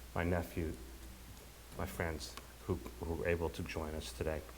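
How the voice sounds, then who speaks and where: There is audible room echo as a man with a very deep, low voice talks at a moderate pace. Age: 60s. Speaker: bereaved son giving eulogy. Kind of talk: eulogy. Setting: funeral service. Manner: halting.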